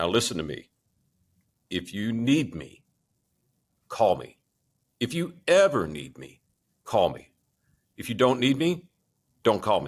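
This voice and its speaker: A booming, put-on character voice from a man, medium-pitched, at a fairly slow pace with long, frequent pauses. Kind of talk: emphatic, direct.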